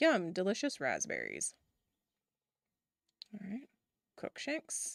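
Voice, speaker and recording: With vocal fry and very wide pitch swings, a woman talks at a very slow pace and medium pitch, her sound dry and close with no echo. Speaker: video game streamer. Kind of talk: let's play commentary with game text read aloud. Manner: casual, chatty.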